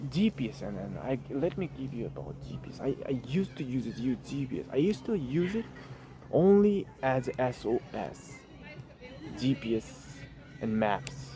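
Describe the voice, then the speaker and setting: Over music in the background, someone with a non-native accent speaks at a moderate pace. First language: not English (English is third language). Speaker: vlogger. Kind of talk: casual vlog monologue. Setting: outdoors at a lake. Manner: halting, repeats words.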